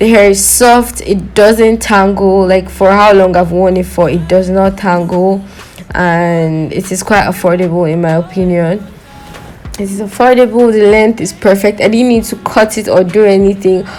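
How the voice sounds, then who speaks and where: With a non-native accent and fairly even intonation, the speaker keeps a moderate pace over noticeable background noise. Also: woman, medium pitch for a woman. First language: not English. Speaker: beauty vlogger. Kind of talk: product review. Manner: casual, chatty.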